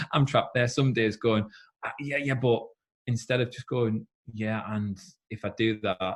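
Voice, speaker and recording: Somewhat breathy, the man's medium-pitched voice moves at a moderate pace with ordinary pitch variation. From northeast England, South Shields. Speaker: former Olympic swimmer and swim school founder. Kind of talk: casual interview chat. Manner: animated.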